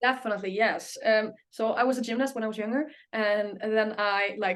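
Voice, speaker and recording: A woman with an Icelandic accent at a fairly high pitch and a fairly quick pace. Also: fairly even intonation. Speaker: singer. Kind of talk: interview. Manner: halting.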